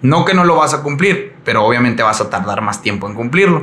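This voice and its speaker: Audible room echo surrounds a man's fairly high pitch as it makes very wide pitch swings. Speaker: CrossFit coach and entrepreneur. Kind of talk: casual chat.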